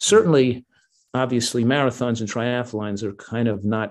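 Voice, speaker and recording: A man with a normal speaking voice, medium pitch and a fairly quick pace, against a quiet background. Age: 60s. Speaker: physician and nutrition author. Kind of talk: interview.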